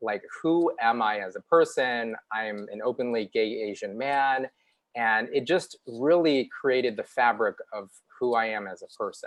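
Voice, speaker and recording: At a fairly slow pace, a man with a Chicago accent talks at medium pitch, with ordinary pitch variation and big swings in loudness. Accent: Chicago American English. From US Midwest, Chicago. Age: 40s. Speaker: TV news reporter. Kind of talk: interview. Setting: live online show.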